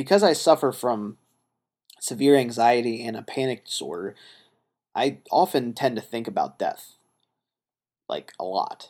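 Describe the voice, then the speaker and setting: Moderate-paced speech from a man, broken by long, frequent pauses. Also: medium pitch for a man, lively intonation. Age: 30s. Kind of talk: solo monologue podcast.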